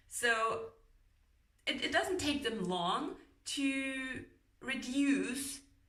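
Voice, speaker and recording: A woman speaks very slowly in a high, bright, sharp voice. She projects it loudly, with very wide pitch swings. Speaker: book reviewer. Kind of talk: casual book review talk to camera. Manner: rambling, chatty.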